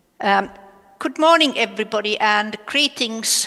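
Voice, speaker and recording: The speaker has a Finnish accent and talks at a fairly slow pace. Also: woman. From Finland. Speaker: professor. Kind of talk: conference lecture. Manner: hesitant, many filler sounds.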